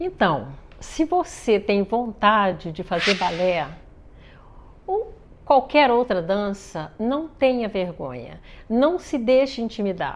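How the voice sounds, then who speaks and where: A woman speaks at a very slow pace with long, frequent pauses. Her fairly high voice swings very widely in pitch. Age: 60s. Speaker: ballet project founder. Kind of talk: interview. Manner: halting.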